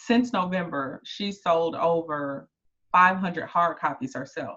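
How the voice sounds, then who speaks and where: A woman in a Southern US accent, her tone bright and sharp, her pitch fairly low, her intonation lively. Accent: Southern drawl. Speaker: book writing coach. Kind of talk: live masterclass.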